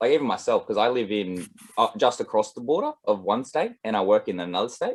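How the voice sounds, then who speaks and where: With an Australian accent, a man moves through his words at a fairly quick pace. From Australia, east coast. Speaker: musician and composer. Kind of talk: casual video call chat. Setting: video call.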